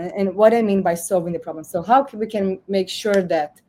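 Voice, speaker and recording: Speaking at a fairly quick pace, a woman with a Portuguese accent has a medium pitch and a dark, mellow tone. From Brazil. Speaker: AI governance newsletter host. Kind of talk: interview talk. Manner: halting, many repetitions.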